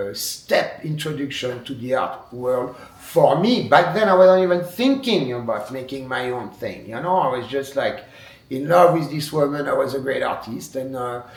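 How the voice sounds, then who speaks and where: A man with a French accent, fairly high pitch and lively intonation, with audible room echo and noticeable background noise. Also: moderate pace. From France. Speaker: wood sculptor. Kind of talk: interview monologue. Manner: halting.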